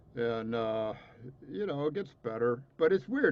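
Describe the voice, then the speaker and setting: Talking at a fairly quick pace, a man speaks with a US Midwestern accent. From Indiana, US Midwest. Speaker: trumpet professor. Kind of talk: casual interview.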